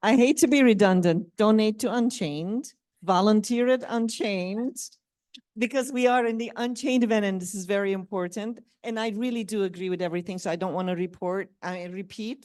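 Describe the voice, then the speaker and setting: A normal speaking voice from a woman, fairly high in pitch, fairly quick, with ordinary pitch variation. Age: 60s. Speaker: forced marriage survivor. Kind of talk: panel discussion.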